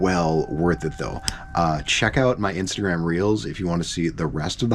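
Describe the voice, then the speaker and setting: A man delivers his words at a fairly quick pace, with music in the background. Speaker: travel vlogger. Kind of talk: travel vlog. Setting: hostel dorm room. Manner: animated; quiet.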